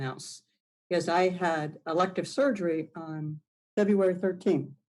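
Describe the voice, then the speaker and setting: A woman is speaking at a medium pitch. Her pitch rises and falls in an ordinary way. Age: 60s. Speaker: recovering addict, weather satellite worker. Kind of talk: interview. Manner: halting.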